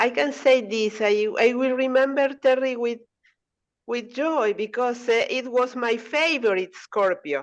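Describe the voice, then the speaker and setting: Using a Spanish accent, a woman speaks at a very slow pace with long, frequent pauses. Her pitch is high, with ordinary pitch variation. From Argentina. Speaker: language exchange participant. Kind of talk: casual group chat. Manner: halting.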